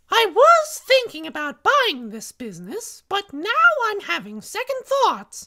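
This put-on character voice sits at an extremely high pitch. It moves at a fairly slow pace with hardly any pauses. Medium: voice reel.

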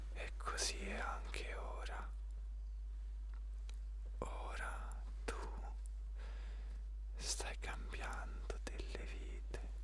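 Someone whispers softly, with long, frequent pauses over light background noise. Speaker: motivational speaker. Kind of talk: motivational address. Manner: slow soft intimate whisper.

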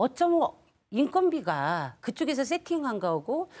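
The woman's voice moves in very wide pitch swings. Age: 60s. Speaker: women's employment advocate; panelist. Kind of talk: live TV debate. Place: studio. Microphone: lapel.

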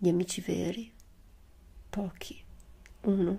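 Very slowly, a woman speaks at medium pitch in a somewhat breathy voice with a dark, mellow tone. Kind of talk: poetry reading. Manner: soft-spoken.

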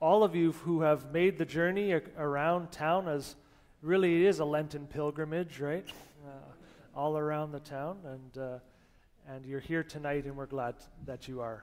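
A man at a moderate pace, fairly even intonation, and long, frequent pauses. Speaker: presiding pastor. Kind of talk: worship welcome and announcements. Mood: warm, relaxed. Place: church.

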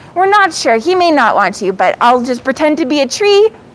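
Here a woman is speaking. Her intonation is lively.

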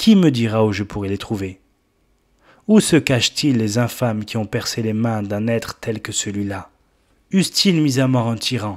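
A man speaks at a fairly slow pace in a solemn tone, his pitch medium with ordinary variation, on a very clean recording with a silent background. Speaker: preacher. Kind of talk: sermon. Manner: solemn, fervent, exhortative pulpit delivery; rising, impassioned, rhetorical appeals to the congregation.

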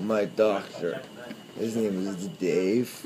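A man's fairly low voice, with ordinary rises and falls in pitch, comes through noticeable noise in the background. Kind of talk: groggy casual chat. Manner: dazed, slow post-anesthesia speech. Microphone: phone near.

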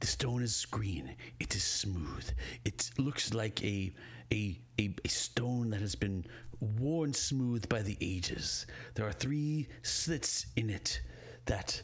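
A man's put-on character voice, rumbling and fairly low in pitch, at a very slow pace with long, frequent pauses. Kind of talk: game master voicing a villain. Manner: temperamental, menacing.

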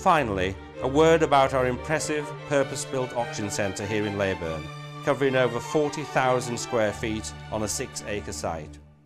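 With music in the background, a man talks at a moderate pace in a medium-pitched voice that swings very widely in pitch. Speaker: auction house chairman. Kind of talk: corporate promotional address.

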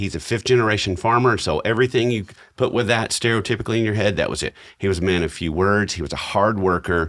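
Over a quiet background, a man talks in a fairly low pitch with ordinary pitch variation. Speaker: podcast co-host. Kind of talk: podcast storytelling chat. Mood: warm, reflective, lightly humorous. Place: studio. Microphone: studio mic.

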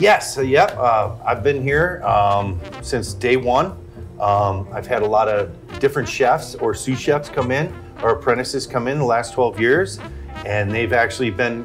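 The man's delivery is fairly slow. In the background, clear music is playing. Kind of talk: interview answer. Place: bar. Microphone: lapel.

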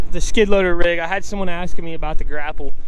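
At a fairly quick pace, a man speaks with ordinary pitch variation in a dry sound with no echo, over light background noise. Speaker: farmer. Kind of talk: casual talk to camera. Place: farm machine. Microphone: phone near.

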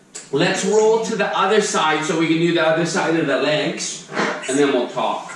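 A man with a high pitch and ordinary pitch variation talks at a fairly slow pace. There is audible room echo and noticeable background noise. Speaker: fitness instructor. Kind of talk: live online fitness class, cueing exercises and counting reps. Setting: video call. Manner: upbeat, casual and encouraging, with a light playful tone; rhythmic cueing, counting down reps. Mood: playful, joking. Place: home room.

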